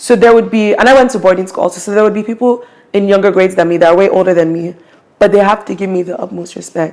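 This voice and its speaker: Fairly even intonation marks speech that moves at a very fast pace. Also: woman, medium pitch for a woman. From Nigeria (Igbo). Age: 18. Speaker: university student. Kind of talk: interview testimony. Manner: hesitant, with false starts.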